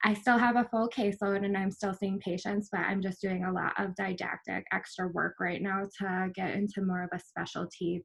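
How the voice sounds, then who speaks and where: A woman talks at a moderate pace with a medium pitch and a slight Minnesotan accent. Her voice is somewhat breathy. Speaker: physical therapist. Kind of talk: workshop presentation.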